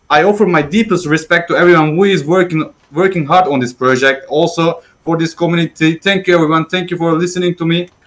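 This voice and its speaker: A man speaks in a non-native accent at a high pitch. His pace is fairly quick and his intonation fairly even. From Turkey. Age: 20s. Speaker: 3D modeler. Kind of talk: prepared presentation. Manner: halting.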